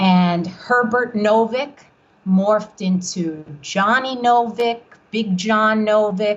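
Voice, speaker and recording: A woman's somewhat breathy, fairly high voice at a very slow pace, with fairly even intonation. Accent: New York. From New York, Long Island (Brooklyn-born). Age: 60s. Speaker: author. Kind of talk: interview. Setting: podcast.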